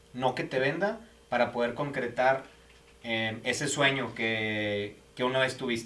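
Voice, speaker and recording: Fairly slowly, a man speaks while noticeable noise sounds behind him. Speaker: podcast host for a home builder. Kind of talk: casual interview.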